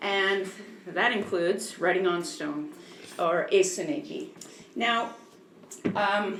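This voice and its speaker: With lively intonation, a woman at medium pitch speaks at a very slow pace with long, frequent pauses, amid noticeable background noise and audible room echo. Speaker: museum educator and former park interpreter. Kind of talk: public lecture. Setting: museum talk with live audience, PA microphone. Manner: loud.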